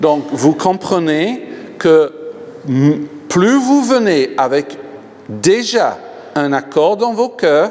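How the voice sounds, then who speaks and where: A man speaks very slowly in a high voice, with very wide pitch swings and long, frequent pauses. Noticeable background noise runs underneath. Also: very even loudness. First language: English (speaking French). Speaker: pastor, healing evangelist. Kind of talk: sermon. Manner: animated.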